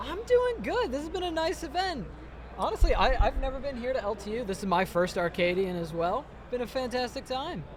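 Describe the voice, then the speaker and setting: Speech moves at a fairly quick pace against noticeable background noise. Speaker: esports commentator. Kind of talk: live commentary. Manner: loud.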